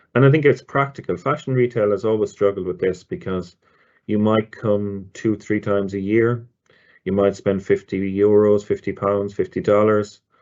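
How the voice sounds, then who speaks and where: A man with an Irish accent speaks in a fairly low voice. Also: ordinary pitch variation, moderate pace. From Ireland. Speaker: loyalty marketing director. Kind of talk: webinar presentation. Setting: online webinar. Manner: hesitant, many fillers and repeats.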